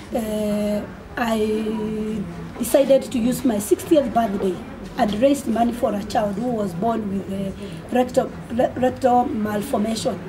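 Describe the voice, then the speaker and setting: A woman speaks at a fairly slow pace and a fairly high pitch, with fairly even intonation. Noticeable background noise and audible room echo fill the recording. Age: 60s. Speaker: amateur marathon runner and charity fundraiser. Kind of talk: radio interview. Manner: halting, many repetitions.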